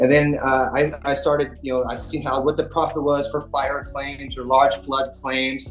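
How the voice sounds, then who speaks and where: A man's fairly high-pitched voice comes through with music behind it. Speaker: public adjuster. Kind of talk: casual chat. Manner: fast.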